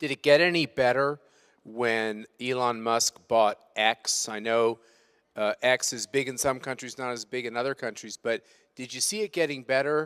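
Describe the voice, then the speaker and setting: In a normal speaking voice with an American accent, a man talks at a moderate pace and medium pitch with ordinary pitch variation, in a dry, close sound with no echo on a very clean recording with a silent background. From United States. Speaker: conference chairman and moderator. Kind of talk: panel moderation.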